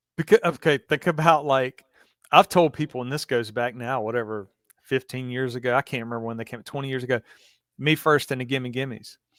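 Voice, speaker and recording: A man with a strong Southern accent, medium pitch, a fairly quick pace, ordinary pitch variation and big swings in loudness, on a very clean recording with a silent background. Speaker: podcast host. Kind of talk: casual interview.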